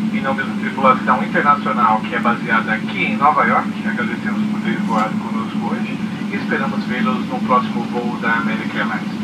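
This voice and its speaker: The speech moves at a fairly quick pace. Loud background noise runs underneath it. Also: man. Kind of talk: cabin announcement. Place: plane.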